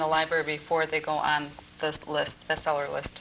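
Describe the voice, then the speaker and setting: Through noticeable background noise, a woman with fairly low pitch talks at a moderate pace. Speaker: library staff member. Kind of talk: on-camera interview. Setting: studio. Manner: loud, forced projection.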